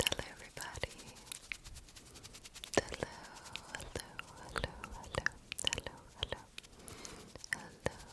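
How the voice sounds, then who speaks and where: Someone whispers at a moderate pace, with long, frequent pauses. Noticeable background noise sits behind the voice. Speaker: ASMR content creator. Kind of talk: casual talk to camera. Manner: whispered.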